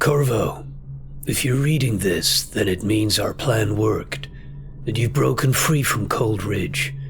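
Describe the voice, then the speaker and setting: A put-on character voice at a fairly slow pace, very even in loudness, over clear background noise. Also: man, medium pitch for a man. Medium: game stream. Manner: weary.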